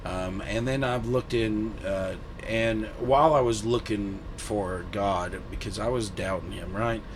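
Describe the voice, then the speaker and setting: In a room with audible echo and noticeable background noise, a man speaks fairly slowly at a fairly low pitch with ordinary pitch variation. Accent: Southern US. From US South. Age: 30s. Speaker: guest sharing faith testimony. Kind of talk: testimony. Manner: halting.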